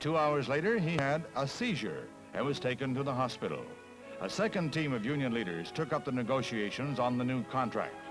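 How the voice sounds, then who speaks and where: With music in the background, a man speaks at a fairly quick pace and medium pitch, his intonation lively and his loudness very even. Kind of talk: newsreel narration. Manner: brisk, authoritative.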